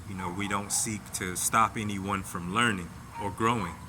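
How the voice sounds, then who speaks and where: In a room with audible echo, a man with a fairly low voice speaks fairly slowly in a flat monotone. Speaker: vlogger sharing personal reflections. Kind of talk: casual monologue. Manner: slow at times; halting, repeated words.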